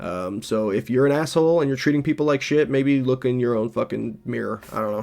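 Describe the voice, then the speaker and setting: With an American accent and a normal speaking voice, a man talks at a medium pitch and a fairly quick pace, with ordinary pitch variation and hardly any pauses. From Los Angeles. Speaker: streamer. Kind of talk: reaction stream commentary. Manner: casual.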